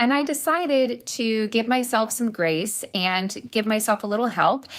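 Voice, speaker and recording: Recorded very cleanly against a silent background, a woman with a fairly high voice speaks at a fairly slow pace in an animated tone, with very even loudness and ordinary pitch variation. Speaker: life and success coach. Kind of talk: casual talk to camera.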